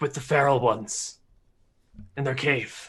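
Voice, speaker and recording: Using a raspy, put-on character voice, a man of medium pitch speaks at a moderate pace. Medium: actual play. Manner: terse, clipped.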